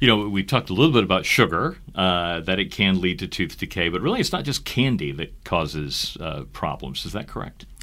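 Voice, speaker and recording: Lively intonation and a bright, sharp tone mark this man's very deep, low voice. He moves at a fairly quick pace with hardly any pauses. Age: 50s. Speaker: podcast host, communications officer. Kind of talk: interview.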